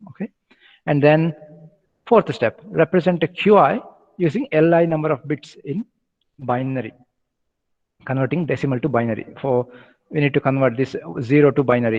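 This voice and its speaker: Pausing long and often, a man talks at a fairly high pitch with ordinary pitch variation. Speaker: university lecturer. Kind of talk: lecture. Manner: fast.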